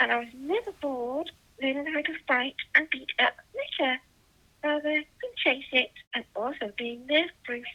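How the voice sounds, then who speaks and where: A woman's high voice at a fairly slow pace. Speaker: mobile game player and video maker. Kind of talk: gaming voice-over commentary.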